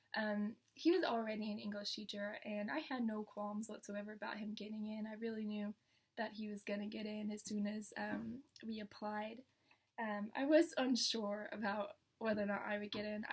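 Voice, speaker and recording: Speaking with an American accent, a woman talks at a moderate pace in a fairly high, somewhat breathy voice with fairly even intonation. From northern Kentucky, USA. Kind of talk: casual vlog talk to camera.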